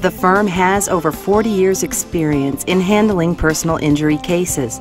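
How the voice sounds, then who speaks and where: With music in the background, a woman speaks at a moderate pace and a fairly low pitch, with ordinary pitch variation and very even loudness. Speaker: voice-over artist. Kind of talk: corporate promotional narration.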